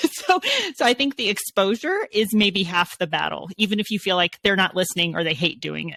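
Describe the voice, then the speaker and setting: A woman talks in an unremarkable speaking voice with ordinary pitch variation, recorded with a dry, close sound and no echo. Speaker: podcast host. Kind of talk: podcast interview, hosting.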